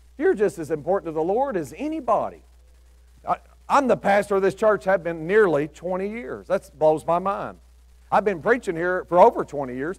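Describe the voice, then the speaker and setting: A man with an American accent and a high voice talks at a fairly quick pace over a quiet background. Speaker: preacher. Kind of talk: sermon. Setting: church with congregation. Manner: informal storytelling, imagining biblical characters' thoughts, with folksy asides; earnest, exhorting, rising to an altar-call invitation. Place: church.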